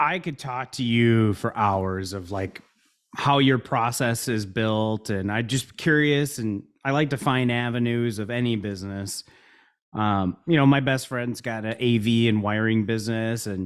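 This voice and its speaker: With a Midwestern American accent, a man talks at a fairly slow pace and a medium pitch with ordinary pitch variation. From US Midwest, Chicago and Milwaukee area. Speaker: business founder. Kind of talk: casual chat. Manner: energetic.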